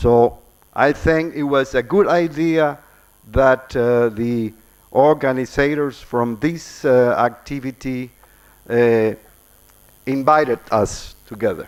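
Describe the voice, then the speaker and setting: A man with a Spanish accent at a very slow pace, with long, frequent pauses and ordinary pitch variation. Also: medium pitch for a man. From Cuba. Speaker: ambassador. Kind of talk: formal address; reading aloud. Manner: halting.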